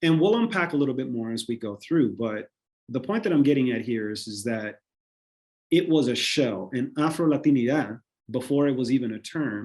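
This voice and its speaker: A man's medium-pitched voice in a Spanish accent, with ordinary pitch variation, over a quiet background. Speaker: panelist. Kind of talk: panel discussion. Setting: video call.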